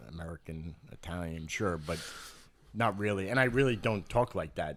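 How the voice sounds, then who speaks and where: With a New York accent, a man with a very deep, low pitch talks at a moderate pace with lively intonation. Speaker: podcast host. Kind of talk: casual chat.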